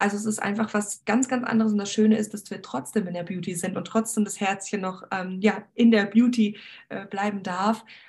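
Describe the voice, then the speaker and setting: The voice is somewhat breathy and moves at a moderate pace, with fairly even intonation and big swings in loudness. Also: woman, medium pitch for a woman. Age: 20s. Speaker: beauty entrepreneur, former cosmetician. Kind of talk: interview.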